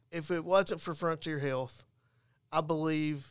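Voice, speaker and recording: A man with a plain, everyday voice at a fairly high pitch speaks at a fairly slow pace with fairly even intonation on a very clean recording with a silent background. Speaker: peer support specialist. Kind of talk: testimony.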